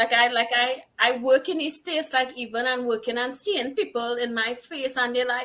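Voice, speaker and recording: Speaking in a strong Trinidadian accent, a woman talks at a moderate pace with hardly any pauses. Her voice is high-pitched, with a bright, sharp tone and ordinary pitch variation. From Trinidad and Tobago. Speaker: singer-songwriter. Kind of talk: casual chat.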